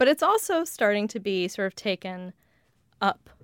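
A woman speaks with a Western US accent and ordinary pitch variation. The sound is dry and close with no echo, on a very clean recording with a silent background. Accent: general Western American. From US West (Colorado). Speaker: lexicographer. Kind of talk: casual interview. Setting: studio.

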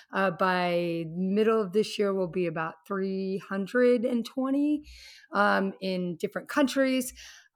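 Speaking fairly slowly with lively intonation, a woman has a normal speaking voice at a medium pitch. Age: 50s. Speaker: fitness instructor and executive. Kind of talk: casual chat. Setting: video call.

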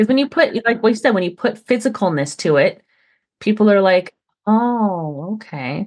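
A normal speaking voice moves at a moderate pace with lively intonation over a quiet background. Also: woman, fairly high pitch for a woman. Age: 40s. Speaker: wedding and event business owner. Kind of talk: interview.

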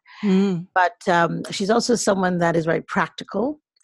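A woman speaks in a somewhat breathy voice. Her pitch is fairly low. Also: dry, close sound with no echo. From US, Nigerian parents, partly raised in Nigeria. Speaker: life coach and author. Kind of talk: interview. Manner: animated.

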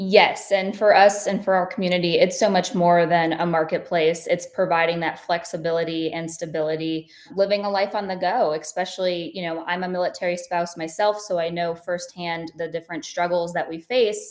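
A woman's fairly low voice over noticeable background noise, at a fairly quick pace with hardly any pauses and fairly even intonation. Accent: American. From Ohio, US Midwest. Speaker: entrepreneur and military spouse. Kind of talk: casual interview.

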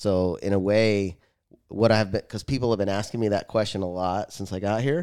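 With an American accent and an unremarkable speaking voice, a man talks at a moderate pace, his fairly low pitch showing ordinary variation. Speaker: podcast host and firefighter. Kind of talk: casual chat.

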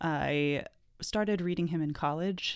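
A woman's fairly low-pitched, ordinary speaking voice, with an American accent, fairly even intonation and a moderate pace, on a very clean recording with a silent background. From Seattle. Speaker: novelist. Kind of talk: interview.

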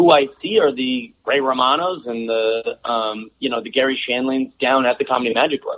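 Moderate pace, ordinary pitch variation and a medium male pitch in a man's speech, an ordinary speaking voice. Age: 30s. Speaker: stand-up comedian and TV host. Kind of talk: casual interview chat. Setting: remote call.

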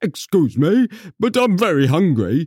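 At a moderate speed, the lines come out in a put-on character voice. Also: man. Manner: polite, courteous.

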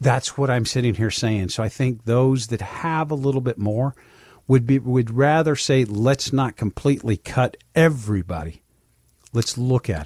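A man speaks at medium pitch and a moderate pace, somewhat breathy, with ordinary pitch variation. The sound is dry and close with no echo, on a very clean recording with a silent background. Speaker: financial advisor and radio show host. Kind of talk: radio talk show Q&A with a sales pitch. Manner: conversational, folksy.

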